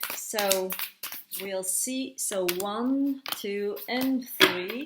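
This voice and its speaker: Over noticeable background noise, a woman speaks very slowly at a fairly high pitch with ordinary pitch variation. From France. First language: French. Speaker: tarot reader and psychic medium. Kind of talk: tarot card reading monologue. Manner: halting, searching for words.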